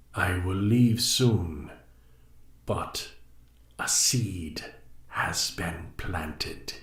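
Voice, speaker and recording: A man performs a put-on character voice at a very deep, low pitch. He goes very slowly, leaving long, frequent pauses. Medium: read story. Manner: cryptic, measured.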